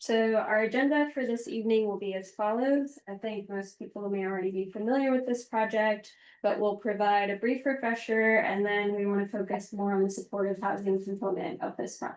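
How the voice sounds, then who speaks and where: A woman speaks loudly at a fairly quick pace, her pitch in the medium range. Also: ordinary pitch variation, hardly any pauses. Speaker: city housing agency official. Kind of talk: public presentation. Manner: soft-spoken; trying to speak loudly.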